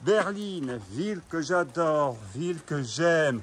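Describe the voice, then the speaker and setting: A man is speaking. His voice sits high in pitch. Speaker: urban explorer vlogger. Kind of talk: walking tour vlog. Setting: outdoors in the rain. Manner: loud.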